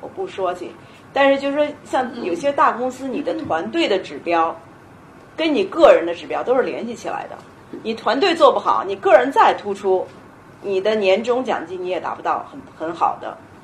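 A woman speaks fairly quickly, her pitch swinging very widely and her loudness rising and falling sharply. Room echo is audible, along with noticeable background noise. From China. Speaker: panel speaker, sales professional. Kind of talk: panel talk at a public lecture.

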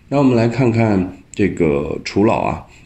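Audible room echo hangs around the man as his pitch varies in an ordinary way. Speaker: angel investor. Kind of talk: debate-style commentary.

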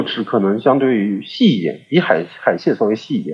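Very wide pitch swings at a moderate pace. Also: man. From China, Suzhou. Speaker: podcast guest. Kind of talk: casual chat.

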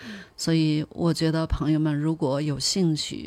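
In a dark, mellow tone, the speaker goes at a fairly slow pace on a very clean recording with a silent background. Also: woman. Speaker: polar expedition travel manager and former research scientist. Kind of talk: interview.

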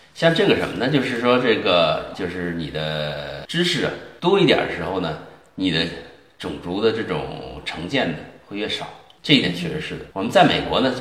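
A man talks at a moderate pace with lively intonation. Noticeable background noise and audible room echo are present. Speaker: Chinese immigrant commentator. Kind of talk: casual chat.

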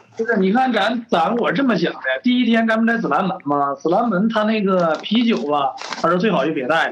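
Noticeable background noise sits behind a man's voice. He talks at a fairly quick pace with a high pitch. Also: lively intonation. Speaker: class reunion organizer. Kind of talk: casual chat.

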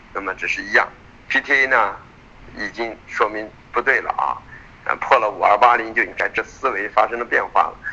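The speaker goes at a moderate pace with long, frequent pauses, and noticeable background noise runs underneath. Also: man. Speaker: futures market analyst. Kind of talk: market commentary. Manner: many filler particles.

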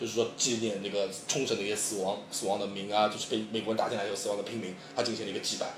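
A man with a fairly low pitch and monotone, flat intonation at a very fast pace, with audible room echo and noticeable background noise. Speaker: former student in Japan, guest commentator. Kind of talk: casual discussion.

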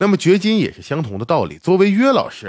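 This man's recording is very clean, the background completely silent. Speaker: sports podcast host. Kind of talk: casual monologue about basketball.

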